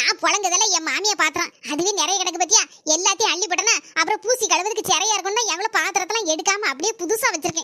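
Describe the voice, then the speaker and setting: A woman's cartoonish character voice at an extremely high pitch, fairly quick, with ordinary pitch variation and a dry, close sound with no echo. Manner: fast, scolding.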